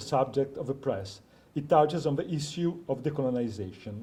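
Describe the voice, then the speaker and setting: In a non-native accent, a somewhat breathy, dark and mellow voice moves at a fairly quick pace with ordinary pitch variation. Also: man. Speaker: PhD researcher. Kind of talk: academic conference paper. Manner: reading from script.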